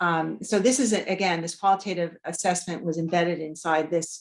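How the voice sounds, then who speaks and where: This woman's pitch is fairly low. Her intonation stays fairly even. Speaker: researcher presenter. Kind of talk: lecture. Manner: fast; halting, many fillers.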